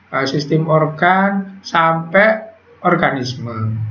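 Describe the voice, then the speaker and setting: A man's high-pitched voice amid noticeable background noise and audible room echo. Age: 60s. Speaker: teacher. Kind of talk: online class lecture.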